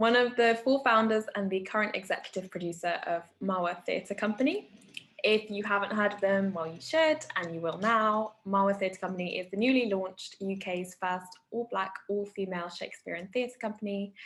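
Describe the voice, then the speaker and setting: A woman talks in a normal speaking voice at a moderate pace, her medium pitch showing ordinary variation. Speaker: interviewer, host. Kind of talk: casual interview hosting. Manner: upbeat.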